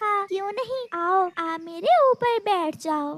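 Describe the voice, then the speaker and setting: Extremely high-pitched, a woman delivers a cartoonish character voice at a fairly slow pace. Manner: soft, soothing.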